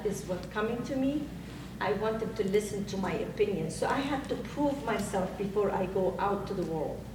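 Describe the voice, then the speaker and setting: A woman with a non-native accent speaks at a moderate pace with lively intonation, amid audible room echo and noticeable background noise. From outside the US. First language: not English. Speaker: author and business owner. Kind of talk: panel discussion.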